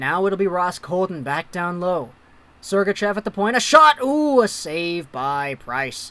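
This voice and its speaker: Pitched high for a man, his voice swings very widely in pitch as he talks at a fairly slow pace. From Philippines / Vancouver, Canada. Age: 20s. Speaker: hockey livestreamer. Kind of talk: live game commentary and chat reading. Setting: home room livestream. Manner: animated.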